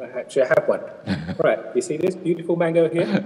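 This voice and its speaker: There is light background noise. A man talks through it. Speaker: church elder on Bible study panel. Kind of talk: Bible study discussion. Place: home room. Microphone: webcam.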